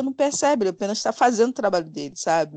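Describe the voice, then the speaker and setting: A woman with a normal speaking voice at a fairly quick pace with lively intonation, dry and close with no echo, against a quiet background. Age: 40s. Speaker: podcaster. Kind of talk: casual chat.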